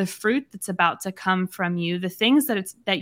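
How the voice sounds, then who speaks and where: The recording is very clean with a silent background, capturing a woman's medium-pitched voice and its ordinary pitch variation. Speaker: podcast co-host, women's ministry teacher. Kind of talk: casual faith discussion, Bible study. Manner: frequent laughter, hesitant fillers.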